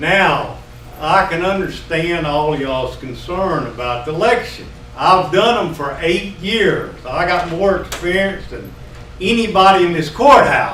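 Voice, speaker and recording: A loud, high-pitched man with a Texas accent at a fairly slow pace, ordinary pitch variation, audible room echo and noticeable background noise. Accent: Texas Southern. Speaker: retired county tax assessor speaking at public comment. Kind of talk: public comment. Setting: county commissioners' meeting room.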